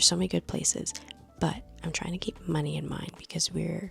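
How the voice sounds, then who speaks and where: A woman speaks. She is whispering. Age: 30s. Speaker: lifestyle vlogger. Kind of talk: casual vlog chat. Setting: at home at night.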